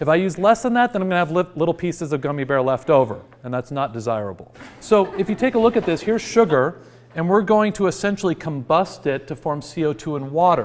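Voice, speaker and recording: In an American accent, a high-pitched man talks at a very fast pace with very wide pitch swings. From Washington state, US. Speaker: high school teacher. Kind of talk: interview; classroom lecture.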